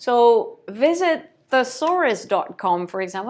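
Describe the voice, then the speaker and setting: A high-pitched woman with a non-native accent and very wide pitch swings, on a very clean recording with a silent background. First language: not English. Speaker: brand consultant and copywriter. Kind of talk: tutorial. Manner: hesitant, many fillers.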